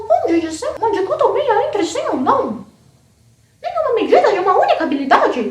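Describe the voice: A put-on character voice, extremely high in pitch, jumps through very wide pitch swings at a fairly quick pace. There is a slight echo.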